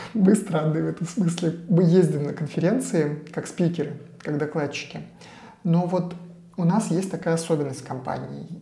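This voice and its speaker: Fairly even intonation at a moderate pace, with audible room echo and noticeable background noise. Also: man, high pitch for a man. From Russia, Saint Petersburg. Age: 40s. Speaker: digital agency founder and CEO. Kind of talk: podcast interview.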